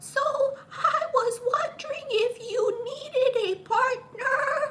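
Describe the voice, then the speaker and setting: A put-on character voice at an extremely high pitch moves along at a very slow pace. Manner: nervous, hesitant.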